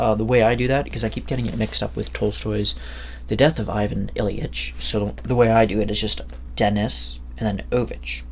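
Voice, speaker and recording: Audible room echo surrounds a man's voice. He speaks at a fairly quick pace over noticeable background noise. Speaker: book reviewer. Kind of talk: casual monologue review. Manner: halting, many fillers.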